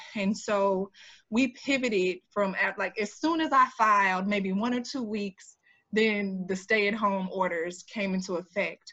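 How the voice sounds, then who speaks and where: A woman with an American accent speaks at a fairly slow pace and a medium pitch. She has an unremarkable speaking voice with ordinary pitch variation. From Jacksonville, Florida (US South). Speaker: political candidate, community organizer. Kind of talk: interview.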